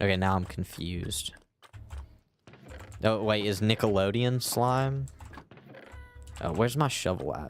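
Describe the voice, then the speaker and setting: With music in the background, a man talks at a fairly slow pace with lively intonation. Long, frequent pauses break up his speech. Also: fairly low pitch for a man. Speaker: gaming streamer. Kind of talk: casual live-stream chat. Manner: halting, with repetitions and pauses.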